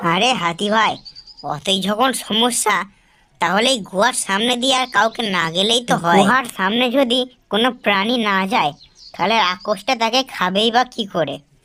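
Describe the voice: A cartoonish character voice that sounds female has a fairly high pitch. It moves at a moderate pace.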